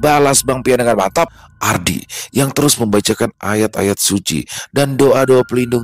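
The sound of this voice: The speaker uses an unforced reading voice, and the pitch rises and falls in an ordinary way.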